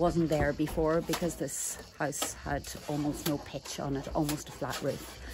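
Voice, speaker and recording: A woman is speaking. Her pace is fairly slow, and there is noticeable background noise. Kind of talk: casual vlog chat. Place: garden. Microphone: phone near.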